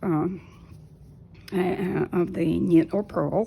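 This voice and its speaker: Very slow and in a Russian accent, a woman talks at a fairly low pitch with ordinary pitch variation. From Soviet Union. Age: 50s. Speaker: knitting vlogger. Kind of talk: tutorial. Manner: halting.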